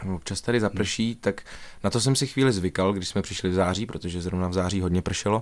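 Words come at a very fast pace with fairly even intonation on a very clean recording with a silent background. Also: man, fairly low pitch for a man. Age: 20s. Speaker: stage actor. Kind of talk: radio interview. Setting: radio studio.

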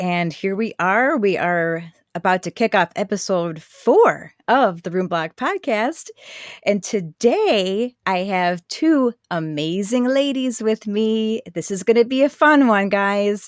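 In a very clean recording with a silent background, a woman uses a plain, everyday voice at medium pitch, speaking at a fairly slow pace with lively intonation. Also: dry, close sound with no echo. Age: 40s. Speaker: podcast host. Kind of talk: casual conversation.

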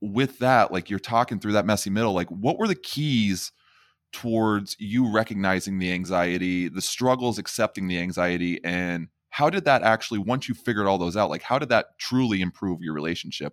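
A man with a plain, everyday voice speaks at a fairly low pitch, with ordinary pitch variation. The recording is very clean, with a silent background. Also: fairly quick pace, dry, close sound with no echo. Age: 30s. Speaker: podcast host. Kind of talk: casual interview chat.

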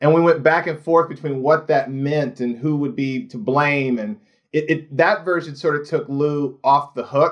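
A man has an unremarkable speaking voice and an American accent. He talks at a moderate pace, fairly high in pitch, with ordinary pitch variation. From Indiana, US Midwest. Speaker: TV showrunner. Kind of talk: casual chat.

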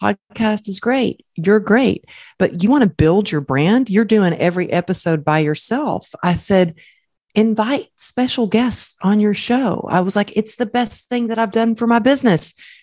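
A woman with an American accent speaks at a moderate pace in a plain, everyday voice, her medium pitch moving with lively intonation. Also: dry, close sound with no echo. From Texas. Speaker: motivational speaker. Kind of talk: casual chat.

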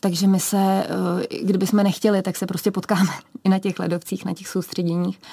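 A woman's medium-pitched, somewhat breathy voice, dark and mellow in tone, flat and monotone, at a fairly quick pace. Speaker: ski cross athlete. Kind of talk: radio interview. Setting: radio studio.

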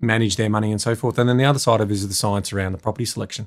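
With an Australian accent, a man speaks at a fairly low pitch and with fairly even intonation, recorded very cleanly against a silent background. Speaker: property investment adviser. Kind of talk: casual interview. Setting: studio.

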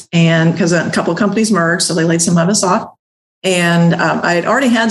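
At a medium pitch, a woman speaks in a somewhat breathy voice with ordinary pitch variation. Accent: slight Ozark. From US South, southwest Missouri (Ozarks). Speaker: laundromat owner. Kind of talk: interview.

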